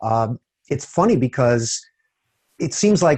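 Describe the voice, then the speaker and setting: A man's voice comes through somewhat breathy. The sound is dry and close, with no echo. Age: 60s. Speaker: database technology speaker. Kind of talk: interview.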